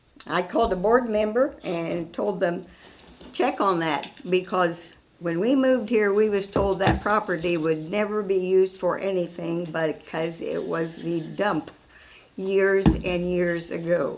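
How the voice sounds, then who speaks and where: Noticeable background noise runs under the recording. A woman of medium pitch speaks at a fairly slow pace. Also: ordinary pitch variation. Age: 90s. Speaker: resident commenting. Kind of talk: public comment.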